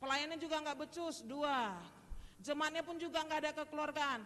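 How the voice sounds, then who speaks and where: A woman speaks in a raised, projected voice with a high pitch and a Medan accent. Her tone is bright, sharp and animated. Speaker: preacher. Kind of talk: sermon. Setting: church. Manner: animated, addressing congregation directly.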